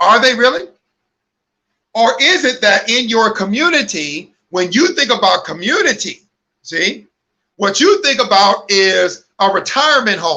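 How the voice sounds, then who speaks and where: The voice is raised and projected, bright and sharp in tone, animated, with very wide pitch swings at a fairly slow pace. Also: man, extremely high pitch for a man. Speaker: online ministry host. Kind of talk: livestream talk. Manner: loud.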